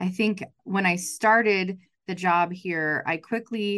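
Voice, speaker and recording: This woman has a normal speaking voice at a medium pitch, with a General American accent. The background is quiet. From western Colorado, Grand Junction. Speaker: chamber of commerce CEO. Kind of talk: interview.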